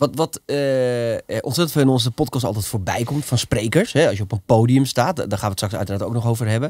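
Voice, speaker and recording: An ordinary speaking voice with ordinary pitch variation comes through dry sound with no echo against a quiet background. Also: man, medium pitch for a man, fairly quick pace. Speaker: podcast host. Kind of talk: casual interview. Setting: studio. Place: studio. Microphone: studio mic.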